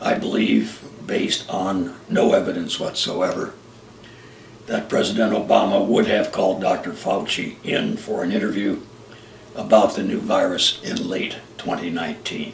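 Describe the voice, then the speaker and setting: Over clear background noise, a man uses a raspy, put-on character voice at a moderate pace. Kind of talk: dramatic reading of a monologue. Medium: solo performance. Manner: earnest, measured, occasionally halting.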